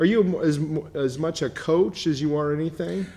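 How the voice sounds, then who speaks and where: The speaker is a man with an American accent. He talks at a moderate pace with a fairly high pitch. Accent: Michigan twang, fading. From Michigan. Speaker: business show host. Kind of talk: interview.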